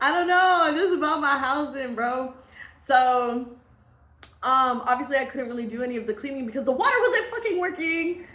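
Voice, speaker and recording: An animated woman with an American accent speaks at a moderate pace in a high, raised, projected voice. Her intonation is lively, and room echo is audible. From US Midwest. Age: 20s. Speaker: vlogger. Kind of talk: casual storytime.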